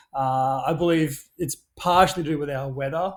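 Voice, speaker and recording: Captured in a very clean recording with a silent background, a man speaks with an Australian accent in a fairly high pitch. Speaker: action sports brand founder. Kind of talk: podcast interview. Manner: hesitant, many fillers.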